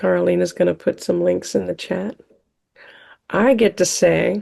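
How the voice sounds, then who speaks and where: A woman speaks with a Californian accent at a fairly slow pace. The background is quiet. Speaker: festival host. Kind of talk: closing remarks at online event.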